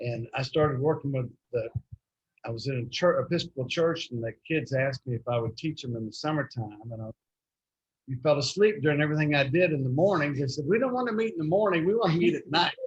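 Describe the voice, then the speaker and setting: A man with a Texan accent, somewhat breathy, his pitch fairly high, intonation lively and pace very fast. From Texas, Fort Worth. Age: 70s. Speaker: youth minister. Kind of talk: club talk about his work. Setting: restaurant meeting.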